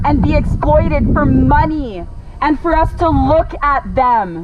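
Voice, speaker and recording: A woman talks at a very slow pace. Audible room echo and noticeable background noise fill the recording. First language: French. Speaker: animal rights activist. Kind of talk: protest speech. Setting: outdoors at roadside protest. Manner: pleading, impassioned.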